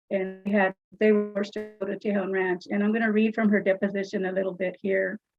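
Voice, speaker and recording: A woman's medium-pitched, very fast speech in monotone, flat intonation, with music in the background. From California, Bakersfield. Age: 70s. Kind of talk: public comment at board meeting. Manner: halting.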